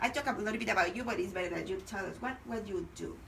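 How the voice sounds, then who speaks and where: Noticeable background noise and audible room echo surround the recording. A woman speaks at a medium pitch. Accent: Spanish. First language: Spanish. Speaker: radio host. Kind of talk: bilingual radio interview. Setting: radio studio.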